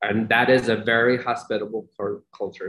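In a normal speaking voice, a man with an American accent talks at a medium pitch and a moderate pace. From Pakistan, then Long Island, New York from childhood. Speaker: nonprofit worker with refugees. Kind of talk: interview conversation.

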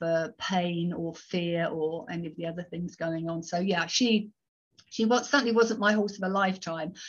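A somewhat breathy voice over a quiet background. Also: woman. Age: 50s. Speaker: horse behaviour consultant. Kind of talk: interview. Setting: video call.

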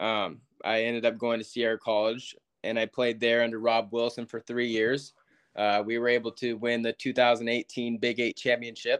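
Against a quiet background, a man with an American accent speaks at a moderate pace and medium pitch in a monotone, flat intonation, the sound dry and close with no echo. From Northern California, Yuba City. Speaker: college baseball player. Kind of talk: interview.

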